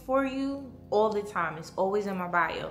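A woman's voice with music in the background. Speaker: home decor vlogger. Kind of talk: casual vlog chat. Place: home room. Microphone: phone near.

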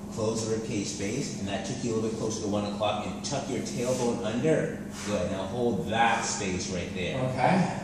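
A man speaks at a moderate pace with ordinary pitch variation. There is strong room echo and noticeable background noise. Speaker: personal trainer. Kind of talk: coaching instructions. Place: gym. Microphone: camera far.

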